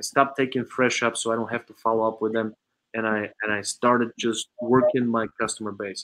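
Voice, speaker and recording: This man talks at a fairly quick pace in a medium pitch. His intonation stays monotone and flat. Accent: Eastern European. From Bulgaria. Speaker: automotive sales trainer and consultant. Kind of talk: interview conversation.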